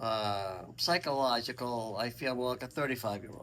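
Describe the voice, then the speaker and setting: A man speaks in a plain, everyday voice at a medium pitch, with ordinary pitch variation. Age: 60s. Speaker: senior interviewee. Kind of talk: casual interview.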